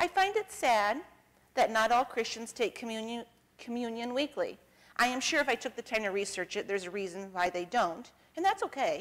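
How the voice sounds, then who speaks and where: Talking at a fairly quick pace, a woman uses a fairly high pitch with very wide pitch swings. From northeastern Ohio, US. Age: 40s. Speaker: church member giving communion meditation; speaker. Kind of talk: personal testimony; sermon. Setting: church. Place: church.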